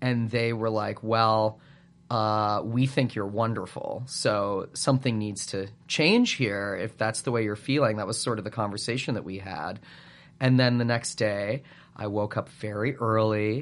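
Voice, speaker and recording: An ordinary speaking voice moves at a fairly slow pace with fairly even intonation over a quiet background. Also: man, fairly low pitch for a man. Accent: Canadian. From Western Canada, Calgary, Alberta. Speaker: improviser and musical writer. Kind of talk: casual chat.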